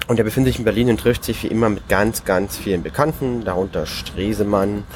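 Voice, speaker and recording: A man is speaking here. His pace is moderate and his pitch variation ordinary. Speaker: podcast co-host. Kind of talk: informal report reading from a diary. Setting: on a moving train, noisy background. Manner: halting, with repetitions and filler words.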